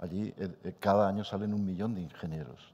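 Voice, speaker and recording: A man's very deep, low voice with a dark, mellow tone and fairly even intonation. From Spain. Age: 60s. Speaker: supercomputing scientist; speaker. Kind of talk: panel debate. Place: hall.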